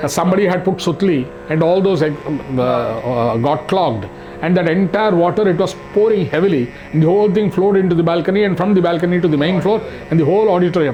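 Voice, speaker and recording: A man with a high-pitched voice talks very fast amid noticeable background noise and audible room echo. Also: ordinary pitch variation, very even loudness. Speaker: arts society administrator. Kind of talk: interview.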